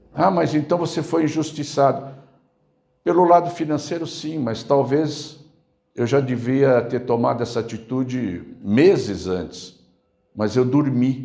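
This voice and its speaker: A man's fairly high-pitched voice with a dark, mellow tone, ordinary pitch variation, a fairly slow pace and audible room echo. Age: 60s. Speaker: pastor. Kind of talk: sermon.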